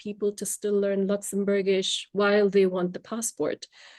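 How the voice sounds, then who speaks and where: A woman with a Tamil accent speaks at a fairly slow pace. The sound is dry and close with no echo, and the background is quiet. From India. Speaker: language trainer. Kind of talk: podcast interview.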